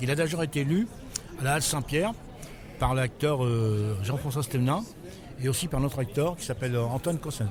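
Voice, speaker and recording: There is noticeable background noise as a man talks at a moderate pace. He has a fairly high pitch and lively intonation. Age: 60s. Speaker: writer and former prisoner. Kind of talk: interview. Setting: book fair. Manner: halting.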